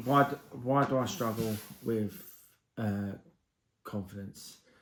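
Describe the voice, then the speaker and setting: With an English accent, a man speaks at a very slow pace. His pitch is medium, with ordinary variation. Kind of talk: casual talk to camera. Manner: hesitant, stuttering.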